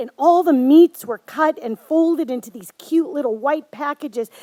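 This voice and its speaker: High-pitched and lively in intonation, a woman speaks. The sound is dry and close, with no echo. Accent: Upper Midwest. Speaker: storyteller. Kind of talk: live storytelling performance.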